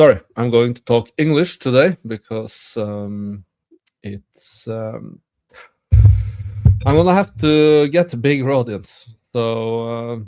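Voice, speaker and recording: Over music in the background, a man with a Norwegian accent speaks at a very slow pace with long, frequent pauses, medium pitch, ordinary pitch variation and big swings in loudness. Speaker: streamer. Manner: hesitant, many filler sounds.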